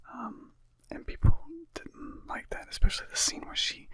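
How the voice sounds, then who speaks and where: A man speaks in a whisper. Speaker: ASMR channel host who tells jokes and makes music. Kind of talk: ASMR movie review, casual talk to camera. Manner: casual, profane, conversational.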